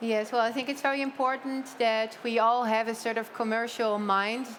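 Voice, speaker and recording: Her voice sits fairly high for a woman. She speaks in a flat, monotone way. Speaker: hotel owner. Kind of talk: panel discussion.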